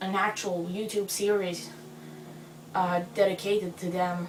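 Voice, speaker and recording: A woman with a non-native accent talks in a room with audible echo while music plays in the background. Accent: non-native English accent, noticeable. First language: not English. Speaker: fanfiction author vlogger. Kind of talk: casual vlog monologue. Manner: quiet, soft-spoken; hesitant, filler-heavy.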